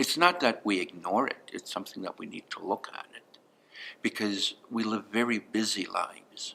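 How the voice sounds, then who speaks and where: A man whispering at a moderate pace. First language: Blackfoot. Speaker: elder speaking to students. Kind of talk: talk to students answering questions.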